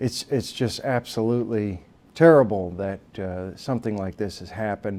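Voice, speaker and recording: A man's dark, mellow voice sits fairly low, with ordinary pitch variation. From Texas, Southeast Austin. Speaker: army veteran and political candidate. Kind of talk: interview. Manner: halting, many fillers.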